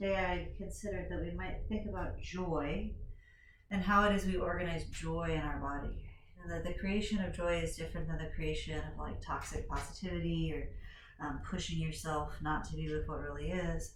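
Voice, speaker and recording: Over noticeable background noise and audible room echo, a woman speaks at a moderate pace. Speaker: yoga teacher. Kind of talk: guided yoga class. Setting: home recording. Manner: projecting loudly.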